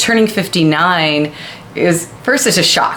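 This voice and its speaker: A woman's fairly low voice, with ordinary pitch variation, comes through noticeable background noise and audible room echo. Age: 50s. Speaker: fitness professional and video co-host. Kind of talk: casual chat.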